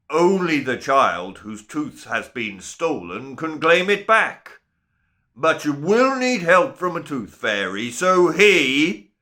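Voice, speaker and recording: A man bellowing and shouting in a put-on character voice, fairly high in pitch with very wide swings, at a fairly slow pace, on a very clean recording with a silent background. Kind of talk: children's story voice. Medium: read story. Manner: shouting, bellowing, explosive.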